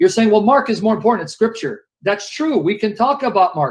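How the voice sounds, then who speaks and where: A loud man's voice, high-pitched for a man, with lively intonation and a fairly quick pace. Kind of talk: heated debate.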